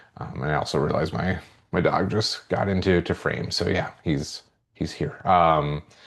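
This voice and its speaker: This man's voice sits very deep and low. He talks at a moderate pace. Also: ordinary pitch variation. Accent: American. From US Midwest, central Minnesota. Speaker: psychology professor. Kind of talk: course introduction video. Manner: casual with many fillers.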